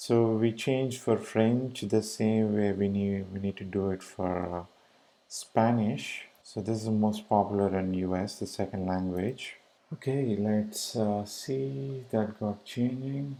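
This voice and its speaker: A man speaks with an Indian accent at a fairly slow pace. His voice is fairly low, dark and mellow, with fairly even intonation. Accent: Indian English (Tamil). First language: Tamil. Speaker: web developer tutorial maker. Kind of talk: screencast coding tutorial. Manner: casual, hesitant with fillers.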